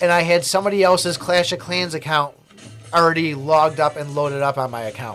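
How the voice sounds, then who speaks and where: Music plays in the background as a man speaks with an American accent. His pitch is fairly high and his intonation fairly even. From USA. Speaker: gaming streamer. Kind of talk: casual livestream chat. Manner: rambling, hesitant with fillers.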